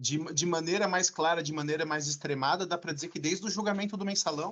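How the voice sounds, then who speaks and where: He speaks fairly quickly. The man's voice is high-pitched. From Brazil, São Paulo area. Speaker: law professor. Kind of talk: lecture.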